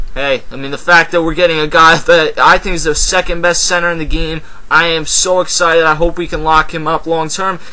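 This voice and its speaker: Noticeable background noise sits behind a man with an American accent. His pitch is high, and he talks at a fairly quick pace. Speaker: sports commentator vlogger. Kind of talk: casual sports commentary vlog. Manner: fast; animated.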